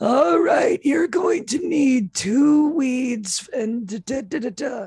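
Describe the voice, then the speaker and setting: This put-on character voice is raspy and high-pitched, delivered at a very slow pace. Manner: hammy, exaggerated.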